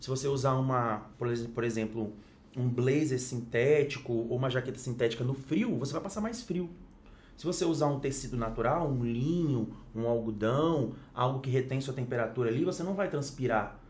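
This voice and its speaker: Recorded with audible room echo, a man speaks at a moderate pace in a medium pitch with ordinary pitch variation. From Espírito Santo, Brazil. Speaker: fashion consultant and influencer. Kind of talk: casual chat.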